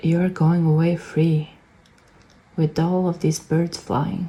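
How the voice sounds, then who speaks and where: At a very slow pace, a woman with a non-native accent and a fairly low pitch speaks with fairly even intonation. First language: not English. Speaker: tarot reader. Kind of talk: pick-a-card tarot reading. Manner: halting.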